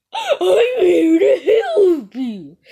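Someone puts on a character voice pitched extremely high. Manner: eerie, helpful-sounding.

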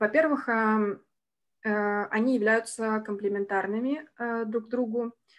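At a very slow pace, a woman speaks in a fairly high pitch with fairly even intonation. Her long, frequent pauses stand out against a quiet background. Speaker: senior researcher. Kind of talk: academic presentation. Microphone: video call.

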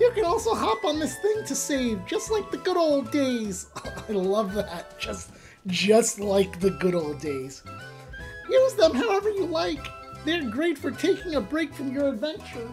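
A female-sounding put-on character voice speaks at a moderate pace with a fairly high pitch. Clear music plays in the background. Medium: game stream.

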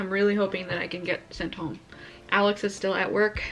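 Faint music sits in the background. A woman talks at a very fast pace. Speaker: expectant mother vlogger. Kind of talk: casual vlog chat.

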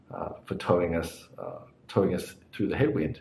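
Audible room echo surrounds the voice. The tempo is moderate. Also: man. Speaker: cycling vlogger. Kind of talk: casual vlog chat. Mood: relaxed, apologetic. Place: home room. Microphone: phone near.

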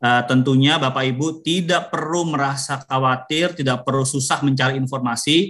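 A man with an unremarkable speaking voice talks at a moderate pace and fairly high pitch, with hardly any pauses. His intonation is fairly even, his loudness very even, and the background quiet. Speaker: government official; webinar speaker. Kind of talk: official remarks. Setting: video call. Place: home room. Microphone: video call.

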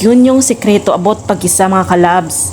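A woman speaks with a Visayan accent at a moderate pace. Background noise is noticeable. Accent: Visayan accent in Tagalog. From Visayas, Philippines. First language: Cebuano (Bisaya) (speaking Tagalog). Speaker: cooking vlogger. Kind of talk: cooking tutorial vlog. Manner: casual, with fillers.

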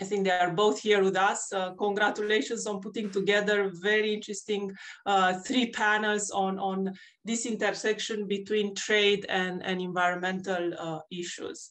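A woman at a moderate pace, monotone and flat in intonation, over a quiet background. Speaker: panel moderator. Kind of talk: formal introduction. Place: home room. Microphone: webcam.

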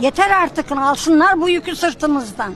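Amid crowd noise in the background, a woman speaks in a high pitch at a fairly slow pace with ordinary pitch variation. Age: 80s+. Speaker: pensioner. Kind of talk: street interview answer.

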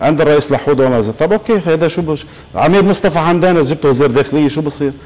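Moving at a fairly quick pace, a man speaks in a fairly high pitch with ordinary pitch variation. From Lebanon. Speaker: political researcher and writer; TV guest. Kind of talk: TV talk show interview. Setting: TV studio. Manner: animated. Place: studio.

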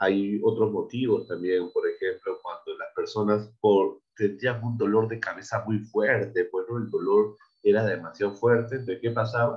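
A man talks at a moderate pace, the background around him quiet. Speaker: primary school teacher. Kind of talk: lecture. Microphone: video call.

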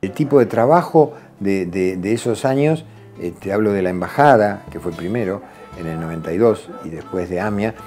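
Faint music sits in the background while a man speaks at a fairly low pitch. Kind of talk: interview answer. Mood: reflective, calm. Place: office.

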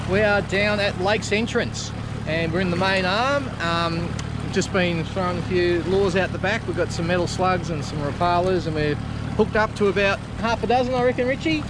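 A man at a fairly quick pace, ordinary pitch variation, dry sound with no echo, and noticeable background noise. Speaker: fishing channel host. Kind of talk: casual vlog chat. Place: boat. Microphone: phone near.

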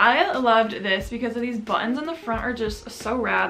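Faint music plays behind a woman whose pitch varies in an ordinary way. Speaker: fashion vlogger. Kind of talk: casual vlog chat. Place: home room.

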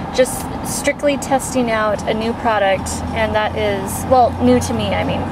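Amid loud background noise, a woman speaks at a fairly slow pace in a dry sound with no echo. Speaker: beauty vlogger. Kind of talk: casual vlog chat. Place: car. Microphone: phone near.

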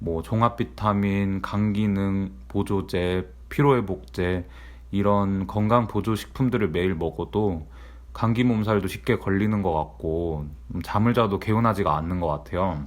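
A man with a normal speaking voice talks at a fairly slow pace and a fairly low pitch, with lively intonation. The recording is very clean, with a silent background. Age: 30s. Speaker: office worker vlogger. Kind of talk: personal vlog monologue.

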